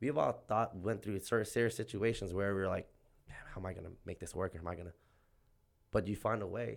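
A man's plain, everyday voice, fairly low in pitch with ordinary pitch variation, at a fairly quick pace on a very clean recording with a silent background. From Southern California (Oxnard). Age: 30s. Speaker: small business owner. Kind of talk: casual interview chat.

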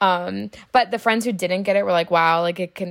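At a moderate pace, a woman with medium pitch uses an ordinary speaking voice, recorded very cleanly against a silent background. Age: 20s. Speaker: college student. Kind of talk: interview.

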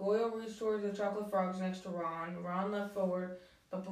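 Fairly even intonation runs through a natural reading voice.

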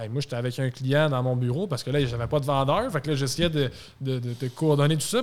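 With an ordinary speaking voice, a man talks at a fairly quick pace, his fairly high pitch showing ordinary pitch variation. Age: 20s. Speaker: car dealership sales director. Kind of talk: casual chat.

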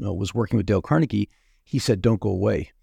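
A man speaks with a fairly low pitch and vocal fry. His tone is dark and mellow, the sound dry and close with no echo. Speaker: podcast host. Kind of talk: interview about sales.

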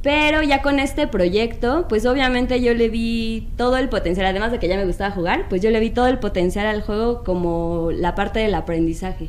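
A woman with a Mexican accent speaks at a moderate pace and a fairly high pitch. Her recording has audible room echo and noticeable background noise. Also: lively intonation. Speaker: board game designer and publisher. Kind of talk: casual chat.

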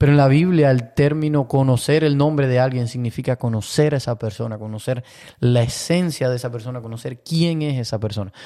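Set against a silent background in a very clean recording, the voice has a dark, mellow tone, ordinary pitch variation and a fairly quick pace. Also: man, medium pitch for a man. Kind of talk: casual chat on Bible topics. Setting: new larger studio.

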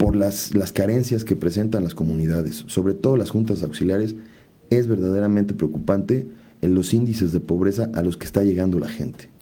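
Talking in a plain, everyday voice, a man keeps a fairly quick pace, his fairly low pitch showing ordinary pitch variation. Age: 40s. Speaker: businessman and local political candidate. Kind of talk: interview.

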